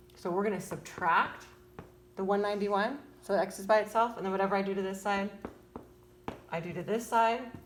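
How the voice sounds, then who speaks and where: A woman speaks at a medium pitch with fairly even intonation. Room echo is audible. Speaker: parent tutoring child in math. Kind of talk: homework tutorial. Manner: fast; casual, hesitant with fillers.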